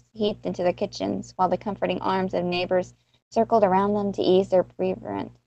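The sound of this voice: This is an unforced reading voice. Behind it the background stays quiet.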